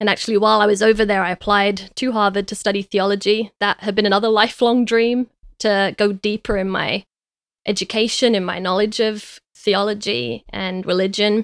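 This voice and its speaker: A woman with a London accent at medium pitch, fairly quick and fairly even, with a dry, close sound with no echo in a very clean recording with a silent background. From East London, England. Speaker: podcast co-host. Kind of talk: casual conversational podcast intro and personal story.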